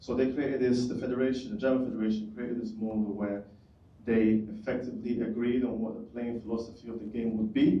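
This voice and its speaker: Very fast speech with monotone, flat intonation, audible room echo and noticeable background noise. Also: man, medium pitch for a man. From United Kingdom. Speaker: audience member asking question. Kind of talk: audience question.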